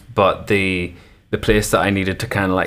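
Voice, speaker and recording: Speaking in a Northern Irish accent, a man with a very deep, low voice talks at a moderate pace in a flat monotone. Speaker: musician. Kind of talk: interview. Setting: video call.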